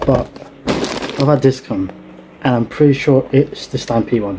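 A man speaks at a moderate pace with ordinary pitch variation, with noticeable background noise behind him. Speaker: streamer. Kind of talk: casual unboxing chat. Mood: curious, upbeat. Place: home room. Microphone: headset.

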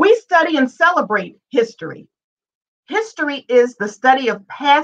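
The woman here speaks at a moderate pace. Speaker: host organization representative. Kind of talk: prepared introductory remarks. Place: home room. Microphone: webcam.

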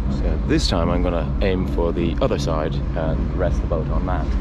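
Loud noise fills the background as a man talks at a fairly slow pace. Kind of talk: casual vlog chat. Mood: slightly tense, focused. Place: boat.

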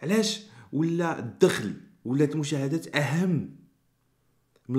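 A man's voice against a quiet background. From Morocco. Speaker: YouTuber. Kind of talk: commentary vlog. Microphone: studio mic.

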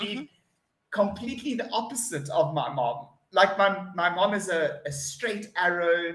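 Amid audible room echo, a man with a South African accent talks at a fairly slow pace in a high pitch with lively intonation. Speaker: online English tutor. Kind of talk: online English lesson conversation. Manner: upbeat, spontaneous. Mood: cheerful, chatty. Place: home room.

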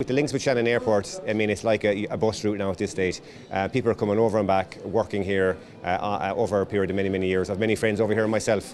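A man with a fairly low pitch talks at a very fast pace over light background noise, his intonation fairly even. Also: very even loudness. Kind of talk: interview answer. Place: hall. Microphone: handheld.

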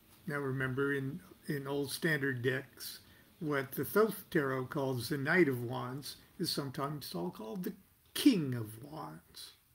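Ordinary pitch variation and a fairly slow pace from a man, somewhat breathy in tone. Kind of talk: reading aloud with commentary. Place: home room. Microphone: webcam.

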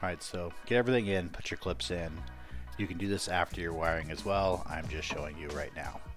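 With music in the background, a man's very deep, low voice moves at a fairly quick pace. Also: ordinary pitch variation. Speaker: car modification hobbyist. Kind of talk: DIY car repair tutorial. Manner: casual, informal.

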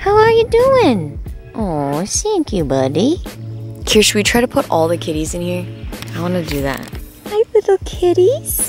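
A woman speaks at a fairly slow pace with long, frequent pauses. The sound is dry with no echo, and music plays clearly in the background. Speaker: vlogger. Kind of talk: casual vlog chat.

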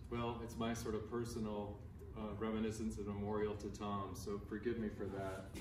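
Noticeable background noise sits under a man talking at a moderate speed. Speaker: conference presenter. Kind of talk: memorial talk with slides. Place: hall.

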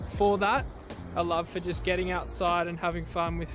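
Against clear music in the background, a man's voice comes through dry with no echo. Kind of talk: casual vlog chat. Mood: calm, warm, reflective. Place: beach. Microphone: phone near.

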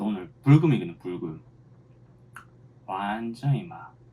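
At a fairly slow pace, the speaker uses very wide pitch swings in a dark, mellow tone with a Gyeongsang accent. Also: man. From Busan, South Korea. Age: 30s. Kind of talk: mukbang, casual talk to camera.

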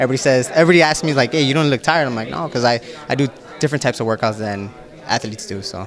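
Against crowd noise in the background, a man of medium pitch talks at a very fast pace with ordinary pitch variation. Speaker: professional boxer and respiratory therapist. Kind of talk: casual interview. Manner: halting, many fillers.

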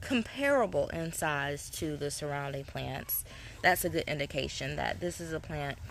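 Over light background noise, a woman talks fairly slowly with very wide pitch swings in a dry sound with no echo. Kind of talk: tutorial. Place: garden.

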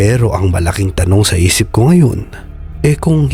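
Over music in the background, a man with a fairly low pitch speaks with lively intonation. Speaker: voice actor and horror story narrator. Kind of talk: horror story narration.

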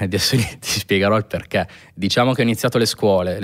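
A man speaks fairly quickly, with a fairly low pitch and ordinary pitch variation. It is an ordinary speaking voice against a quiet background. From northern Italy, Pavia province (Lombardy). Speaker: sneaker restorer. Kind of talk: casual interview chat. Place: studio. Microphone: studio mic.

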